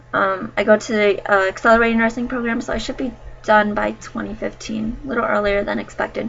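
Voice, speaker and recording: Over music in the background, a woman with an American accent talks at a very fast pace with a fairly high pitch and fairly even intonation. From United States. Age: 20s. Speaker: vlogger, nursing student. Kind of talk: casual vlog chat. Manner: hesitant, many fillers.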